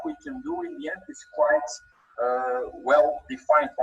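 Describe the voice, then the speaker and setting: Background music beneath a man speaking at a moderate pace. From Belgium. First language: Dutch. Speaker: trainer. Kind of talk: webinar. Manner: halting, many repeated words.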